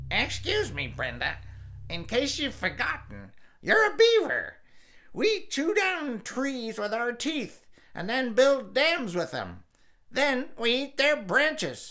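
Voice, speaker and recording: A put-on character voice at a high pitch moves along at a fairly slow pace. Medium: read story. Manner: dry, sarcastic.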